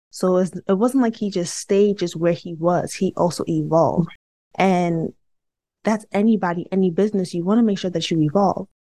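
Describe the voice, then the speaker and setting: Speaking at a moderate pace with an American accent, a woman uses fairly even intonation, medium pitch, and a dark, mellow tone. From Brooklyn, New York. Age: 30s. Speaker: organizational psychologist. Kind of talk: interview.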